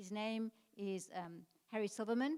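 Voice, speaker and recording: A woman with a non-native accent speaks at a fairly high pitch, her tone dark and mellow, with ordinary pitch variation. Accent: non-native, foreign. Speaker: tour organizer. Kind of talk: informational talk.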